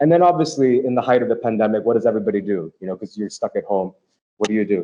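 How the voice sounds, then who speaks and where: The voice has an American accent. The pace is very fast. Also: man. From United States. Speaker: fintech media executive and report author. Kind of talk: panel interview. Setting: hybrid live event. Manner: repetitive filler-heavy speech.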